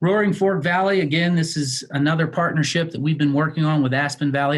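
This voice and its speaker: At a fairly quick pace, a man with a fairly high pitch speaks in a somewhat breathy voice with fairly even intonation. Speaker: healthcare executive. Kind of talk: presentation with slides. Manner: fast.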